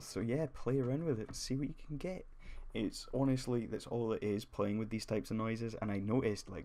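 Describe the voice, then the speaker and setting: This man's dark, mellow voice sits at a medium pitch, moving at a fairly quick pace with ordinary pitch variation. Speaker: 3D graphics tutorial creator. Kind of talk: tutorial. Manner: casual, hesitant with fillers.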